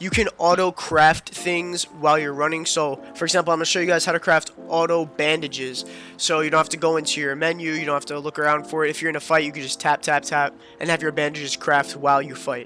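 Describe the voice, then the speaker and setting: The speech runs at a very fast pace with music playing in the background. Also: man, fairly high pitch for a man. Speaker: gaming content creator. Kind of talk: gaming tutorial talk. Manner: casual, upbeat.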